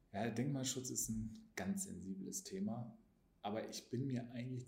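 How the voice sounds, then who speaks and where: Vocal fry runs through this man's dark, mellow tone. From Hanover, northern Germany. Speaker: politician. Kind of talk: casual interview.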